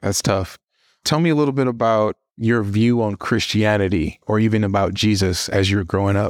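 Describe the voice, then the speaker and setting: This man has an unremarkable speaking voice, fairly low in pitch with ordinary pitch variation and very even loudness, at a fairly quick pace. The recording is very clean with a silent background and a dry, close sound with no echo. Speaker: guest host of a podcast. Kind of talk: interview, podcast intro narration.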